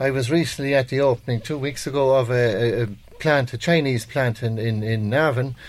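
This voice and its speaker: Intonation here is fairly even. The delivery runs at a fairly quick pace. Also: man, medium pitch for a man. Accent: Irish. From rural Ireland, Kildare. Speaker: county councillor. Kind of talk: panel debate.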